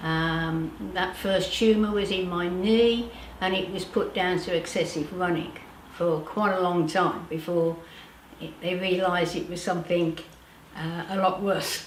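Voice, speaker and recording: Against noticeable background noise and audible room echo, a woman talks at a fairly slow pace in a fairly low pitch. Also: fairly even intonation. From Britain. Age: 70s. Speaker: powerlifter and nutrition practitioner. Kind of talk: interview testimony. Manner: hesitant, many fillers.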